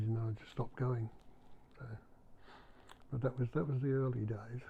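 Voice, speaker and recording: Speaking with an English accent at a moderate pace, a man uses a medium pitch and a monotone, flat intonation, his voice somewhat breathy. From England. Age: 70s. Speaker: retired clergyman, former soldier. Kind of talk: interview testimony. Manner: halting.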